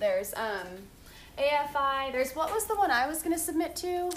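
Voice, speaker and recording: A woman with lively intonation talks at a moderate pace amid noticeable background noise. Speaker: podcast co-host. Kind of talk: casual chat.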